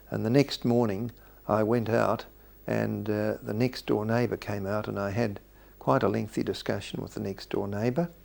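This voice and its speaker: Speaking in an Australian accent, a man with a fairly low pitch talks at a moderate pace with ordinary pitch variation. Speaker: retired surgeon. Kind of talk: memoir storytelling. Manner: halting.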